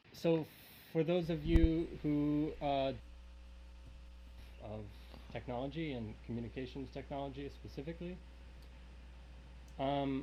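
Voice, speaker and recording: The speaker is soft-spoken, talks at a fairly slow pace, and leaves long, frequent pauses. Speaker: event host. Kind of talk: opening speech at live-streamed show. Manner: halting. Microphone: too quiet.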